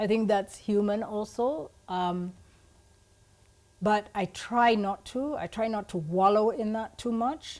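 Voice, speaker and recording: A woman with a fairly high voice speaks at a very slow pace on a very clean recording with a silent background. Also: ordinary pitch variation. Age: 60s. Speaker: life coach and stylist. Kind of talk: podcast interview.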